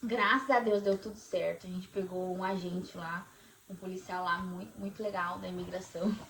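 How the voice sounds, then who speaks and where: Against noticeable background noise, a woman with a Brazilian accent speaks with big swings in loudness. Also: medium pitch for a woman, ordinary pitch variation, moderate pace. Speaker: vlogger. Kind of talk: casual chat.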